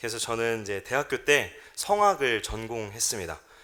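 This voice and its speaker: The tone is bright and sharp, and the pace is moderate. Pitch swings very widely. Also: man. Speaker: pastor. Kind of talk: sermon. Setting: church.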